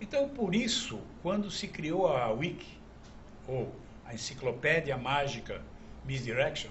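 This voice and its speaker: Room echo can be heard. The voice swings very widely in pitch. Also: man. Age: 70s. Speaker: magic historian and collector. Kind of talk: TV talk show interview.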